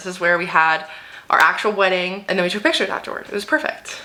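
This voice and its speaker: At a very fast pace, a woman talks in an animated tone at a medium pitch over noticeable background noise. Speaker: lifestyle vlogger. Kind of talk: casual chat.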